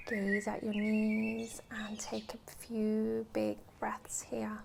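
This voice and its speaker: The speaker has a British accent and talks at a very slow pace. Noticeable background noise runs behind the voice. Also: woman. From UK. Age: 20s. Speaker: yoga teacher. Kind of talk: guided yoga class instruction. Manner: calm, steady pace.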